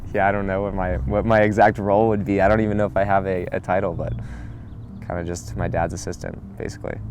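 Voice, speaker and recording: Against background music, a man with an American accent talks at a very fast pace and a fairly low pitch. His pitch variation is ordinary, and room echo is audible. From Arizona. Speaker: family business assistant. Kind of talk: documentary interview.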